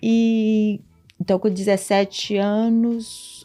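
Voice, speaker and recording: With music in the background, a woman speaks at a fairly high pitch and with fairly even intonation. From Brazil, Minas Gerais (Governador Valadares). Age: 40s. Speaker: church volunteer and mother. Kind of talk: testimony.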